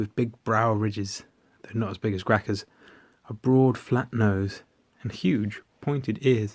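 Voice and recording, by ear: The text is read aloud in a natural voice.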